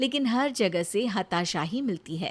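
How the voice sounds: Her pitch fairly high, a woman talks with lively intonation. She keeps a fairly slow pace.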